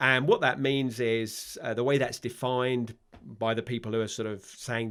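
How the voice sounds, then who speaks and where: A man in a London accent, with fairly even intonation. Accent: London English accent, stands out in Ireland. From London, England (Palmers Green, north London). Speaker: vicar, former army officer. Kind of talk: podcast interview. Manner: hesitant, many fillers.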